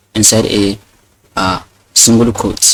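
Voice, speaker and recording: A man with a non-native accent talks at a fairly slow pace in a fairly low pitch. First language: not English. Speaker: programming teacher. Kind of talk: tutorial. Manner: hesitant, many fillers and repeats.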